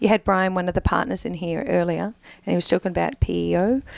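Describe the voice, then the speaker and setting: Against a quiet background, a woman speaks in a dry sound with no echo. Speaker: payroll service provider. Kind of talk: casual chat. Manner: fast. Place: studio. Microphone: studio mic.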